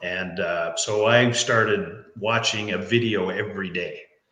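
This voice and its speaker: A man with a Newfoundland accent speaks in a fairly low pitch, with audible room echo. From Newfoundland, Canada. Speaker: life coach. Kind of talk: interview. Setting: live stream.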